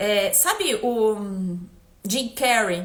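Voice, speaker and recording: A woman speaks with fairly even intonation. Noticeable background noise can be heard. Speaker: energy therapist. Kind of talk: live stream talk.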